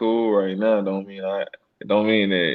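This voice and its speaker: The man speaking has a fairly low-pitched voice. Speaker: rapper. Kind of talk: interview. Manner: casual.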